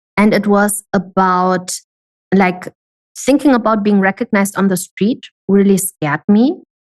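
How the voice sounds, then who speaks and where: A woman speaks at medium pitch and a moderate pace, with ordinary pitch variation. Her loudness stays very even, and the sound is dry and close with no echo. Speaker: online business coach. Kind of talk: podcast interview.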